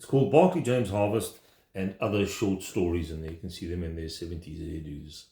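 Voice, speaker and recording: A man's very deep, low voice, somewhat breathy, at a fairly quick pace with big swings in loudness. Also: ordinary pitch variation. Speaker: vinyl record collector. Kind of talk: casual video vlog. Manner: fast; enthusiastic.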